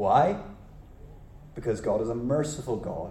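In an ordinary speaking voice, a man talks at a fairly slow pace with a medium pitch and ordinary pitch variation. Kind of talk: sermon. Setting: church, live congregation. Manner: expository, teacherly, pausing to quiz the congregation.

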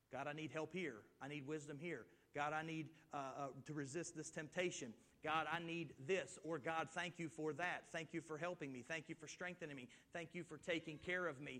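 A man's bright, sharp tone at a fairly high pitch, with fairly even intonation. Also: moderate pace. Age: 30s. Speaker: pastor. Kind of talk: sermon.

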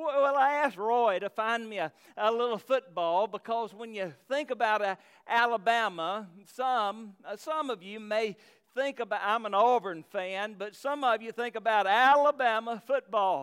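A man with a Southern US accent speaks at a high pitch with ordinary pitch variation. The recording is very clean and silent in the background, with a dry, close sound and no echo. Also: moderate pace. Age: 50s. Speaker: pastor. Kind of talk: sermon. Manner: halting.

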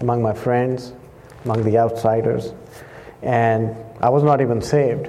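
Noticeable background noise behind a man talking at a moderate pace with fairly even intonation. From Pakistan. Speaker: missionary preacher. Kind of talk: sermon. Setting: church.

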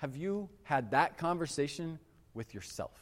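A man in an American accent talks with lively intonation on a very clean recording with a silent background. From Michigan. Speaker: pastor. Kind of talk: sermon. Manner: casual, conversational.

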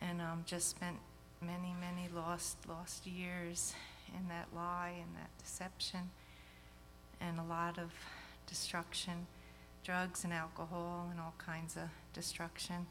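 A woman with a nervous tone speaks at a fairly low pitch and fairly slow pace, her intonation monotone and flat, broken by long, frequent pauses. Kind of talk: testimony.

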